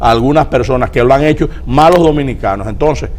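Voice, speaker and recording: Noticeable background noise sits behind this man's voice. He speaks at a fairly quick pace with a fairly high pitch. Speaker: political guest. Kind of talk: TV interview.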